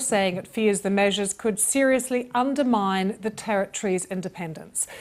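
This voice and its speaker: A woman uses a normal speaking voice at a moderate pace, her fairly high pitch showing ordinary pitch variation. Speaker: news presenter. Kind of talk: news interview questions.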